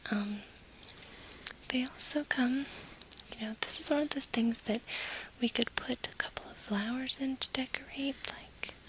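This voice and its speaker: With long, frequent pauses, a whispering voice moves at a moderate pace against noticeable background noise. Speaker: ASMR creator playing an event planner. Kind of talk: ASMR role play, soft-spoken event planner talking to a client. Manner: soft-spoken, whispered.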